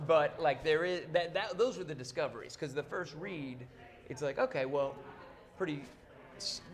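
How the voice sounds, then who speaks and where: A man talks with long, frequent pauses and ordinary pitch variation. His pitch is fairly high, and there is noticeable background noise. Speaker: film actor. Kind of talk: interview. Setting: studio. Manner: fast.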